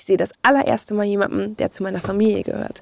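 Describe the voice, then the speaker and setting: In a dry, close sound with no echo, a woman speaks in a normal speaking voice at a fairly high pitch and a moderate pace. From Hamburg, northern Germany. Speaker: podcast guest. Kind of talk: personal storytelling interview.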